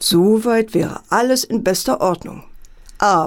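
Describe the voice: Ordinary pitch variation within plain reading aloud.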